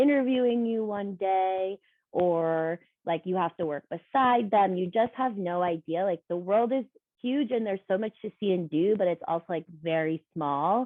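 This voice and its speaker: A woman with a medium pitch speaks at a fairly slow pace. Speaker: former professional dancer. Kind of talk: casual chat. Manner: talkative.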